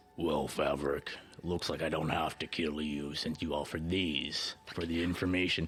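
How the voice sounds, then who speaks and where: A man performs a booming put-on character voice with a very deep, low pitch. Clear background noise runs behind him. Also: moderate pace. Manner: menacing, amused.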